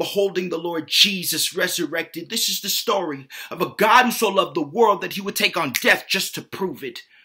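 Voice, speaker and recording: The background is quiet as a man speaks at a high pitch. His pitch shifts in an ordinary way. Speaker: spoken word poet. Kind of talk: spoken word poetry performance. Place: home room. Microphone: webcam.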